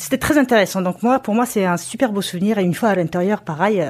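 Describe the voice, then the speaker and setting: Her voice sits at a medium pitch and carries lively intonation. The recording is very clean, and the background is silent. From Mongolia. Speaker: travel photographer and author. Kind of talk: casual chat. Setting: at home. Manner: halting.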